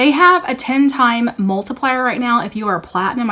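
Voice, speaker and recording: Her tone is animated, and this woman's intonation is lively. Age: 40s. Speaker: beauty YouTuber. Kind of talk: product haul review. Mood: upbeat, enthusiastic. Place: home room. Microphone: phone near.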